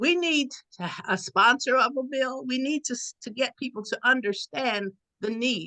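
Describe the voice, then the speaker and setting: In a raised, projected voice, a woman speaks at a moderate pace with lively intonation, a high pitch and a bright, sharp tone, the sound dry and close with no echo. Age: 80s+. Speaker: transit advocate. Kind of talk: advocacy appeal.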